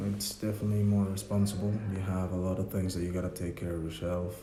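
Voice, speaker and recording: A man speaks with a very deep, low pitch and fairly even intonation. There is audible room echo and noticeable background noise. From Mexico, Yucatán. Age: 20s. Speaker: student. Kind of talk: interview. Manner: halting.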